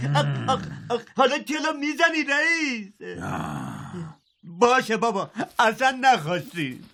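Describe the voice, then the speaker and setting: A man's put-on character voice, whiny and extremely high-pitched, broken by long, frequent pauses. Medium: cartoon. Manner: whiny, complaining.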